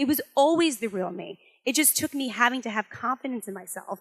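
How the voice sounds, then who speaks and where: A loud, animated woman's voice, high-pitched with very wide pitch swings, in a very clean recording with a silent background. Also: dry, close sound with no echo. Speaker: branding strategist and motivational speaker. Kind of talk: motivational talk to live audience.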